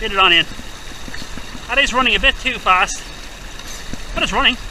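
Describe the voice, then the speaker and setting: Shouting loudly at an extremely high pitch, a man with an Irish accent talks at a fairly quick pace over noticeable background noise. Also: ordinary pitch variation. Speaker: gold prospecting youtuber. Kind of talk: outdoor tutorial vlog. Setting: outdoors by a river. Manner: loud, shouting over river.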